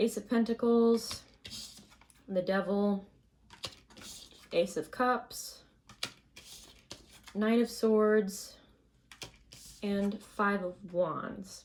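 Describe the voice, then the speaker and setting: Quiet and fairly high-pitched, a woman speaks at a very slow pace with long, frequent pauses. Her intonation stays fairly even. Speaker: tarot reader. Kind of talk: tarot reading.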